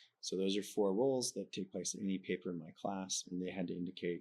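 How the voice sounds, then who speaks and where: A man speaks with a very deep, low voice and a slight Canadian accent. His pace is fairly quick. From Canada. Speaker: professor. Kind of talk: interview. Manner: conversational, informal.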